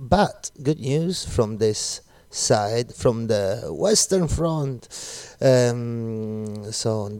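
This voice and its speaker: Speaking at a very slow pace, a man has an Italian accent, a relaxed tone and lively intonation. The recording is very clean, with a silent background. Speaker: radio DJ. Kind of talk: radio music show links. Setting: studio in Glasgow. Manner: relaxed, code-switching Italian and English.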